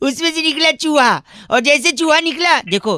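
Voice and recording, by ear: With an extremely high pitch for a man, he talks at a moderate pace in a bright, sharp tone with lively intonation.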